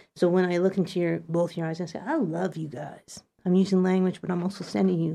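Very fast speech comes in a dark, mellow tone. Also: woman. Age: 50s. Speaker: community radio host. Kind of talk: casual chat. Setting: studio. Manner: animated.

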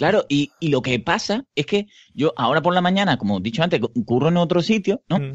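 A man with an Andalusian accent, high-pitched and fairly quick, his pitch swinging very widely while his loudness stays very even. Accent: Andalusian Spanish (Seville). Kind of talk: casual chat.

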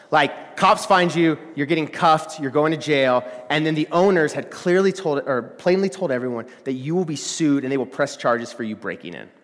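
Someone with an American accent speaks in an animated tone at a moderate pace with hardly any pauses and ordinary pitch variation, over noticeable background noise. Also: man, fairly high pitch for a man. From Texas, small town. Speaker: college ministry resident. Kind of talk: sermon. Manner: animated, with many filler words.

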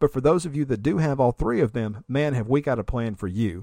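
In a very clean recording with a silent background, a man talks at a fairly quick pace in a normal speaking voice with ordinary pitch variation. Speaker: podcast host. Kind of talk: casual tech podcast discussion.

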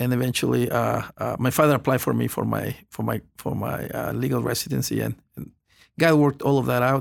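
With a Spanish accent, a man speaks at a fairly quick pace. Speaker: pastor. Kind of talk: testimony. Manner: halting.

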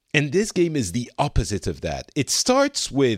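A man with a French accent speaks at a fairly slow pace, with very wide pitch swings. The sound is dry and close, with no echo. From France. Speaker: podcast host. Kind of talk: casual chat.

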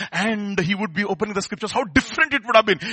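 A man's high-pitched voice with a Telugu accent. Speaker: preacher. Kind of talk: sermon. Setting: church service.

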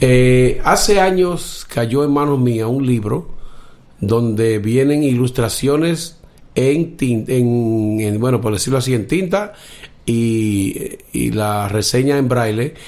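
A man's medium-pitched voice with ordinary pitch variation, at a very slow pace, in audible room echo. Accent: Dominican. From Dominican Republic, Cibao valley in the north. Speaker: blind musician and aspiring orchestra conductor. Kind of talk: casual interview.

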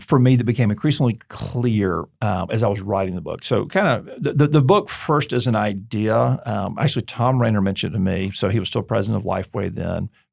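A man with an ordinary speaking voice talks at a medium pitch and a fairly quick pace, with hardly any pauses. His intonation is lively, and the recording is very clean with a silent background. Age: 40s. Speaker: seminary president and author. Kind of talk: interview. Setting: studio. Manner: conversational, many filler words and repeats.

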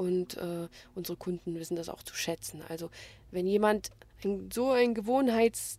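Dark, mellow tone with ordinary pitch variation, big swings in loudness, and long, frequent pauses. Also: woman, medium pitch for a woman, moderate pace. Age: 50s. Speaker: small business owner selling day-old bread. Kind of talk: interview. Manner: hesitant with filler sounds.

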